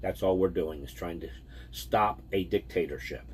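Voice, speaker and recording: A man's voice carries vocal fry and very wide pitch swings. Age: 60s. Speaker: vehicle transport driver, vlogger. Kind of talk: casual vlog monologue.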